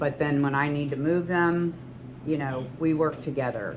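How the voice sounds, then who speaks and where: At a fairly slow pace, a woman speaks with a very deep, low pitch and monotone, flat intonation, with audible room echo. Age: 60s. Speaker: hairstylist and salon owner. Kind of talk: talk to students.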